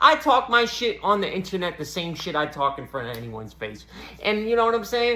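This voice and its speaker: Speaking in a raised, projected voice, a man with an American accent has a high pitch and an animated tone at a moderate pace. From Boston, US. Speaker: comedian. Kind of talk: stand-up.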